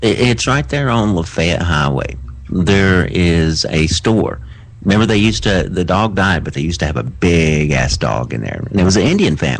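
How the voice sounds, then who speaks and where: With a Southern US accent and a very deep, low pitch, a man talks at a moderate pace with lively intonation, with audible room echo and noticeable background noise. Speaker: radio show co-host. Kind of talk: casual chat. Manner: halting, stammering.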